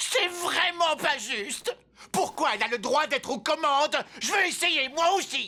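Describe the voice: Using a cartoonish character voice, a man speaks fairly slowly at an extremely high pitch, his tone bright and sharp and his intonation lively.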